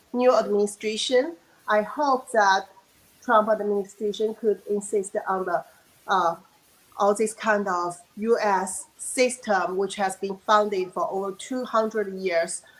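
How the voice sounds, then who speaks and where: A woman speaks with a Chinese accent. Her pace is fairly slow, with ordinary pitch variation. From China. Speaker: virologist and dissident. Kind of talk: panel discussion.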